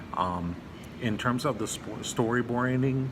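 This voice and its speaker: Through audible room echo and noticeable background noise, a man speaks with ordinary pitch variation. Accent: American. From Los Angeles, California. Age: 30s. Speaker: prospective film student. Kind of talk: scholarship application video, self-introduction. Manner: halting, many fillers.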